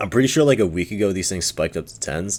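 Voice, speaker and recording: An ordinary speaking voice delivers the words at a fairly quick pace. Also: man. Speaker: trading card market commentator. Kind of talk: casual market review video. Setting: home recording on mic.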